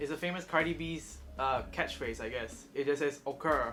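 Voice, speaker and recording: Background music plays throughout. The talking keeps to a moderate pace. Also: man. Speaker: YouTube vlogger. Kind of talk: casual vlog monologue.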